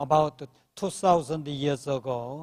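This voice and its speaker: A very slow pace with ordinary pitch variation, in a Korean accent. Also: man. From South Korea. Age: 70s. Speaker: professor. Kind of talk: live panel interview. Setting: conference stage with audience. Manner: halting.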